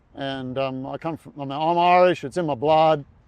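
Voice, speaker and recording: A man is speaking. He has an Australian accent. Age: 60s. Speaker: retired marathon runner. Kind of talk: podcast interview. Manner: halting, many fillers and repeats.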